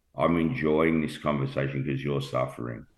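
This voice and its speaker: This man speaks with an Australian accent. His voice is very deep and low, with ordinary pitch variation. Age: 50s. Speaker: cancer patient sharing his story. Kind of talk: emotional personal testimony.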